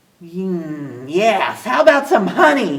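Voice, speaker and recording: A woman's put-on character voice, rumbling and medium in pitch, with very wide pitch swings at a very slow pace. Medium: read story. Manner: grumbly.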